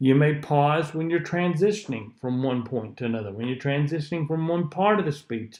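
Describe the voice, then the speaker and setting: A man speaks with a Southern US accent at a fairly high pitch. His pitch variation is ordinary, and the background is quiet. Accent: southern US drawl. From US South. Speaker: public speaking teacher. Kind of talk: lecture. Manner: sometimes slurs syllables, not crisp.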